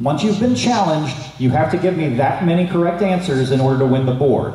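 A man talks at a fairly quick pace, his pitch swinging very widely. There is audible echo from the room. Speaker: game show host. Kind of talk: game show hosting, explaining rules. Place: hall.

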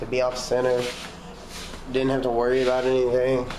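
Noticeable background noise sits under a man's voice. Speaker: vlogger. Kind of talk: casual vlog chat.

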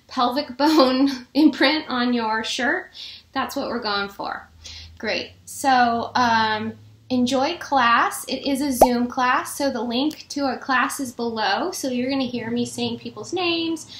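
A woman speaks very slowly in a high voice with ordinary pitch variation. Room echo is audible. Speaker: fitness instructor. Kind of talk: casual vlog chat. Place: home room. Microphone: webcam.

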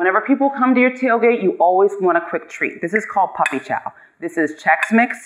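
A woman talks at a fairly quick pace and medium pitch, her intonation lively.

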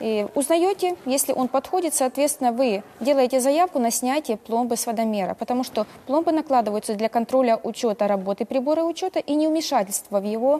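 A woman's high pitch carries lively intonation. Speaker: guest. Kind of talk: interview answer. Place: studio.

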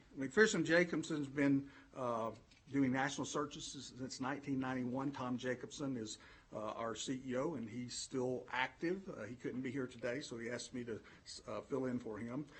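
A man with a Southern US accent, medium pitch, a somewhat breathy voice, and a moderate pace. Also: ordinary pitch variation. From Alabama, US South. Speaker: education consultant, former superintendent. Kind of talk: formal presentation to school board. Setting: board meeting room.

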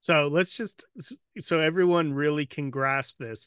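Recorded dry with no echo against a quiet background, a man speaks fairly slowly at a fairly high pitch, with a bright, sharp tone and ordinary pitch variation. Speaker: podcast host. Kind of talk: interview questions. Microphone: studio mic.

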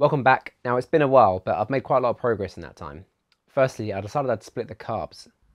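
A man at a very fast pace, ordinary pitch variation. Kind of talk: tutorial narration. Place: garage. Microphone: lapel.

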